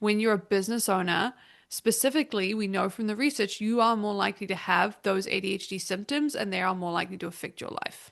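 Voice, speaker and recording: Someone with a New Zealand accent talks at a very fast pace with ordinary pitch variation. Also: woman, medium pitch for a woman, quiet background. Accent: Kiwi. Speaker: business consultant. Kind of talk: podcast interview.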